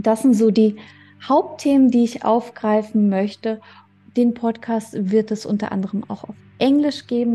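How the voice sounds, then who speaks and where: Fairly slow and somewhat breathy, a woman speaks at a fairly high pitch in a dark, mellow tone with fairly even intonation. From Germany. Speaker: podcast host. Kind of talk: personal monologue.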